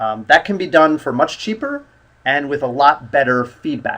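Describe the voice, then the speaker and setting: Here is a man with an American accent. He talks at a moderate pace in a fairly high pitch. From US. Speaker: English test instructor. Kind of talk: online lesson. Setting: live stream.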